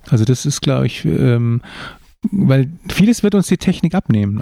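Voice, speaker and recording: A man with an ordinary speaking voice talks at a moderate pace. His pitch sits fairly high. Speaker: podcast co-host, father of the other host, author. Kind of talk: casual chat.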